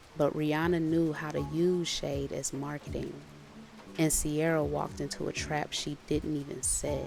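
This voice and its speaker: A soft-spoken woman with music in the background. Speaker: storyteller. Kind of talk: sleep story. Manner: slow.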